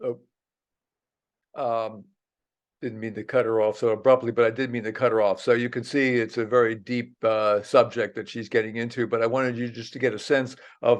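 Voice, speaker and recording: In monotone, flat intonation, a man at medium pitch talks at a fairly quick pace over a quiet background. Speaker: geography professor and biologist. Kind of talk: presentation talk.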